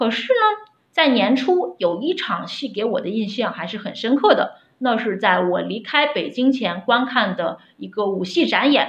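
A woman's fairly high-pitched voice at a fairly slow pace, a plain, everyday voice. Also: lively intonation. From Shaanxi, Xi'an. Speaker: opera fan. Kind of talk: prepared recorded message. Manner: formal.

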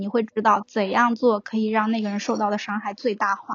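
The speaker talks at a fairly quick pace. The voice is somewhat breathy. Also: woman. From southern China. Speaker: podcast guest. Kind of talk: casual chat.

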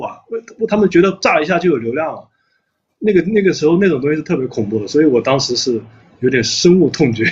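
A man talks at a very fast pace. His fairly high voice swings very widely in pitch. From Anhui, China. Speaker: company CEO. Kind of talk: casual chat.

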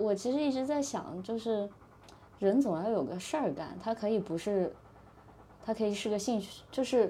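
This woman has a dark, mellow tone, a fairly high pitch and ordinary pitch variation. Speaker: startup employee, former management consultant. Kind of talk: casual interview chat.

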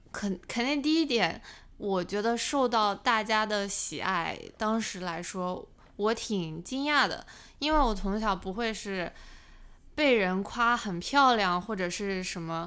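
Her voice is fairly high, bright, and sharp, with lively intonation. The woman speaks at a very slow pace. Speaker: finance YouTuber. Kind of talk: casual interview chat.

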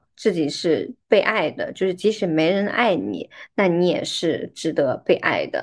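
In a plain, everyday voice, the speaker goes at a fairly slow pace with lively intonation against a quiet background. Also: woman, medium pitch for a woman. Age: 30s. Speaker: podcast host. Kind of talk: casual chat.

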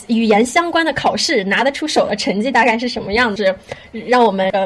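With lively intonation, a woman speaks at a fairly high pitch. Noticeable background noise is present. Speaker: podcast host. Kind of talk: casual chat.

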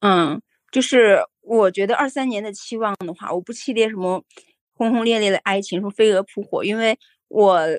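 This woman has a normal speaking voice, fairly high in pitch, with ordinary pitch variation at a moderate pace. Her recording sounds dry and close, without echo. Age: middle-aged. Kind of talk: casual chat.

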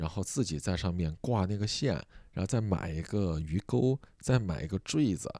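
A man with a very deep, low pitch and a dark, mellow tone talks at a moderate pace with lively intonation, on a very clean recording with a silent background. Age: 30s. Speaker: podcast host and comedian. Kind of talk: sleep-aid casual chat.

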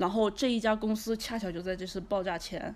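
A woman talks at a medium pitch, her intonation monotone and flat. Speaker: entrepreneur. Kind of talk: casual interview.

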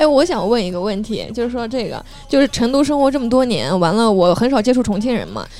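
Noticeable background noise under a fairly quick pace. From northern China. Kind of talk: casual chat.

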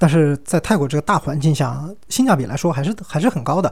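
The voice is somewhat breathy, with a dark, mellow tone and ordinary pitch variation at a moderate pace. The recording is very clean, with a silent background. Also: man. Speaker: solo podcast host. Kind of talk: casual monologue. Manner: hesitant, many filler sounds.

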